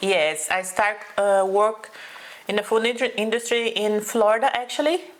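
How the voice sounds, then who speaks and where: This woman talks at a moderate pace with a fairly high pitch and ordinary pitch variation over noticeable background noise. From Brazil, São Paulo. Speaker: food truck owner. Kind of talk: interview.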